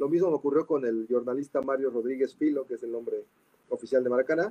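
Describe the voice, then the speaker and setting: With a dark, mellow tone and fairly high pitch, a man speaks at a moderate pace with ordinary pitch variation, the sound dry and close with no echo. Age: 40s. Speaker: football writer and author. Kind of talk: casual chat.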